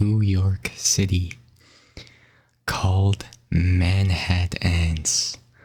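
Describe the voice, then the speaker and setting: A soft-spoken man with a very deep, low pitch speaks somewhat breathily at a very slow pace in a monotone, flat intonation. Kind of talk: ASMR sleep fact narration.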